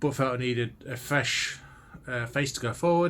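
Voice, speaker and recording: At a moderate pace, a man talks with a medium pitch and a bright, sharp tone. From Leicester, England. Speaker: TV show reviewer. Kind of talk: casual video review monologue.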